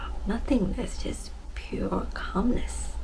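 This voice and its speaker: A soft-spoken woman talks at a very slow pace against noticeable background noise. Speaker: self-love and wellness speaker. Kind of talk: casual heart-to-heart talk to camera.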